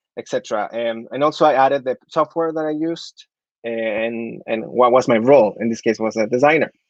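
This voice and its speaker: A man with a Spanish accent speaks fairly quickly with ordinary pitch variation, in a dry, close sound with no echo. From Chile. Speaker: architect. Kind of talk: presentation. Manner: hesitant, with fillers.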